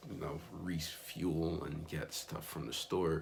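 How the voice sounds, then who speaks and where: Against audible room echo, a man speaks fairly slowly with vocal fry in a very deep, low voice. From Miami, Florida, US. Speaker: missionary vlogger. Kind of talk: casual vlog recap. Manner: casual with frequent fillers.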